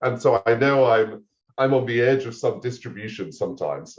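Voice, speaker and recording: A man with an American accent at a moderate pace. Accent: half English, half American. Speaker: AI policy researcher. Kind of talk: podcast interview.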